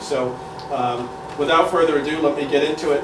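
A man's monotone, flat intonation comes through noticeable background noise. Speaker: event host, interviewer. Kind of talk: introductory speech to audience.

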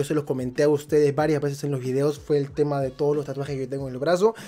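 A man's animated, very fast delivery at a fairly high pitch. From Peru. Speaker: YouTuber. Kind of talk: casual vlog monologue. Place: home room. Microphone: studio mic.

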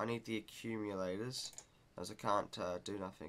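Loud background noise surrounds the recording. A man speaks with ordinary pitch variation. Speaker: gamer. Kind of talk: casual gameplay commentary. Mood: mildly confused, frustrated.

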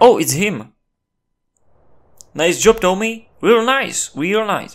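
A man speaks with a non-native accent, his pitch swinging very widely. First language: not English. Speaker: gameplay commentator. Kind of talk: gameplay commentary. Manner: animated.

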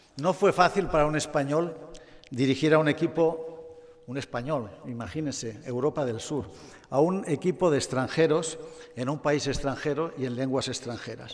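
A man's fairly high-pitched voice at a moderate pace, ordinary pitch variation, and noticeable background noise. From Spain, Barcelona. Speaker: automotive executive. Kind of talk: award acceptance speech. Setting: stage with audience.

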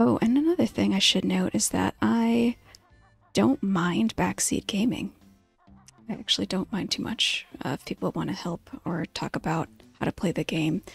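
Soft-spoken and fairly low in pitch, a woman talks at a moderate pace with very wide pitch swings. The sound is dry with no echo, and faint music plays in the background. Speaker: vtuber streamer. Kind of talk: relaxing let's play commentary. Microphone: studio mic.

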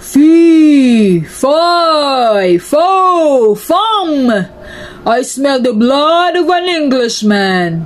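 In a put-on character voice that sounds female, someone bellows at a high pitch and a very slow pace over light background noise. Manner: menacing, bellowing.

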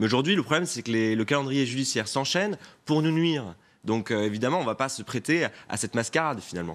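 Lively intonation carries a man's speech at a very fast pace. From France, Pays de la Loire. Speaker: regional politician. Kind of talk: TV news interview. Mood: defensive, argumentative political talk. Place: studio. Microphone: lapel.

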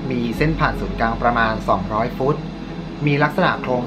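Noticeable background noise accompanies a man speaking with ordinary pitch variation. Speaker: storytelling host. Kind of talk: narrated storytelling commentary. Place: studio.

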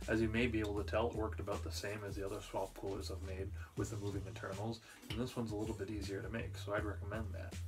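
Over clear music in the background, a man with a fairly low pitch talks at a very fast pace with ordinary pitch variation. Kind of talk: casual tutorial chat. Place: workshop.

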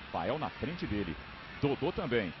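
Very wide pitch swings from a male speaker, noticeable background noise behind him. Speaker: football play-by-play commentator. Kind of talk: live commentary. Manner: animated.

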